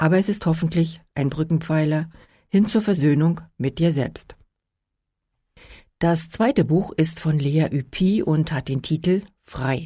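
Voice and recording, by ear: A woman speaks at a fairly slow pace and a low pitch, her tone dark and mellow and her pitch variation ordinary, on a very clean recording with a silent background.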